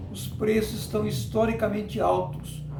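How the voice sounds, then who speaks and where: A man speaking at a very slow pace amid audible room echo. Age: 60s. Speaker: teacher. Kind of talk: lecture.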